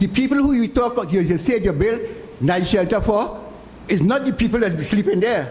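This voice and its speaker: A man at a high pitch and moderate pace, lively intonation, audible room echo and noticeable background noise. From Trinidad, San Fernando. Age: 70s. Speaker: charity volunteer leader. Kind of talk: public meeting speech. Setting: community consultation in auditorium.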